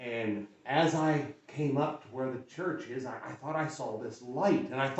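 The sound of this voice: With ordinary pitch variation, someone reads in an unforced reading voice.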